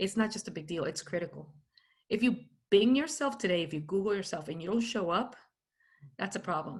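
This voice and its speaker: A woman talks at a fairly quick pace with lively intonation and a somewhat breathy voice, over a quiet background. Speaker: keynote speaker on personal branding.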